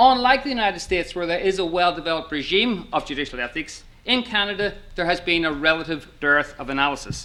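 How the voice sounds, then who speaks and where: Lively in intonation and very fast, a man speaks in a high voice with an Irish accent. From Ireland. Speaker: law professor. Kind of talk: conference talk.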